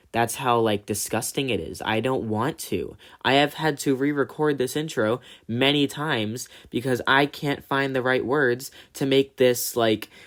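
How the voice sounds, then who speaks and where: In a very clean recording with a silent background, a man talks at a fairly slow pace with a medium pitch and fairly even intonation. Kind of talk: casual commentary talk to camera. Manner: serious, direct.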